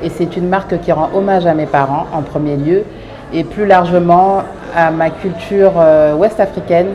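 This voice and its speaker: Over noticeable background noise, a woman talks at a fairly slow pace. Her pitch is fairly low and her intonation fairly even. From France, Paris suburbs (Clichy-sous-Bois). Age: 30s. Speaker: fashion designer, brand founder. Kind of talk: interview monologue. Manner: hesitant, many fillers.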